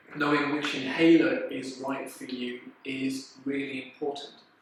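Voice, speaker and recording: A man at a fairly slow pace, with audible room echo and noticeable background noise. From Lancashire, northern England. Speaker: respiratory doctor. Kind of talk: explainer talk.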